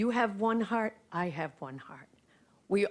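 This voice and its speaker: A woman speaks at a fairly slow pace, her medium pitch moving with lively intonation. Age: 60s. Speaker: author speaking at public school board meeting. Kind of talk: public comment speech. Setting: school board meeting. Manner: impassioned.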